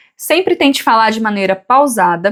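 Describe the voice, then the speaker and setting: A woman with a normal speaking voice talks at a fairly quick pace and fairly high pitch, her intonation lively. The recording is very clean, with a silent background. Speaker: family lawyer. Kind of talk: tutorial.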